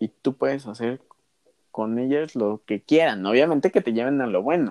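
A man speaks in a dark, mellow tone with lively intonation. The sound is dry and close, with no echo. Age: 20s. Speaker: nursing student. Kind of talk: casual chat. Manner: halting.

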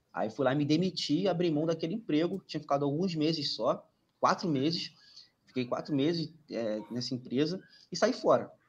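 The intonation of this man is lively. He uses a normal speaking voice at a moderate speed. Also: fairly high pitch for a man. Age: 20s. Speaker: merchant navy engineer and exam tutor. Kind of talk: casual chat. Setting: live stream.

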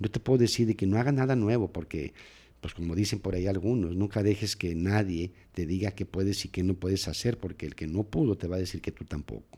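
In a very clean recording with a silent background, a man speaks at a fairly quick pace. His is a plain, everyday voice, fairly low in pitch with ordinary pitch variation. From Mexico, Nogales, Sonora. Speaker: sports psychologist. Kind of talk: interview.

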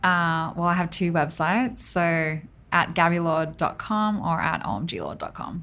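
Speaking in an Australian accent, a woman keeps a fairly slow pace with ordinary pitch variation. Her tone is bright and sharp. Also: fairly low pitch for a woman. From Australia, Tamworth (regional New South Wales). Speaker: designer and art director. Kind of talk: casual interview chat. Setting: studio.

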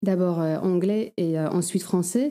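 With a Polish accent, a dark, mellow voice speaks at a fairly slow pace and fairly even intonation on a very clean recording with a silent background. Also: woman. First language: Polish (speaking French). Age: 30s. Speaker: sworn translator. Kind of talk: interview. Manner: halting, many hesitations.

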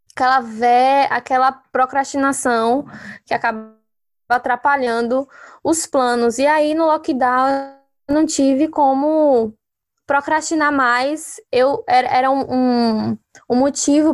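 A woman speaks very slowly in a high pitch with ordinary pitch variation and very even loudness, on a very clean, dry, close recording with a silent background and no echo. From Brazil. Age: 20s. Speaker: journalist and photographer. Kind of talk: casual chat.

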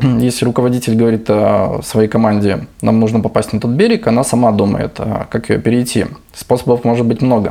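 A man speaks at a medium pitch in a monotone, flat intonation. His pace is fairly quick. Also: very even loudness. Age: 30s. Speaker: entrepreneur. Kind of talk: casual interview.

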